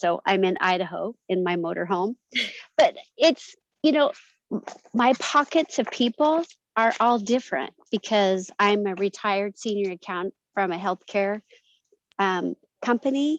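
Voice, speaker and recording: The speaker talks at a fairly slow pace with lively intonation and long, frequent pauses, in a dry, close sound with no echo. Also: woman, medium pitch for a woman. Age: 60s. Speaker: retired team member. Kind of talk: casual chat. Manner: halting.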